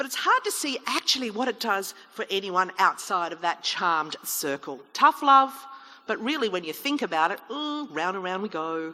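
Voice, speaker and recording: Very wide pitch swings mark a woman's voice, heard over noticeable background noise. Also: medium pitch for a woman, moderate pace. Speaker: chief executive officer. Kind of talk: public debate speech. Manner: humorous, lively.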